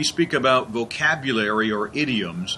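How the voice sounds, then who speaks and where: There is noticeable background noise behind the speaker, a man. His pitch swings very widely. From US Northeast. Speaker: English learning show host. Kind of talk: casual interview chat.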